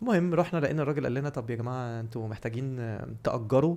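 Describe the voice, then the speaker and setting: A man's fairly quick speech in a dark, mellow tone, medium in pitch with ordinary pitch variation. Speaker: podcast co-host. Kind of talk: casual chat. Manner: animated storytelling.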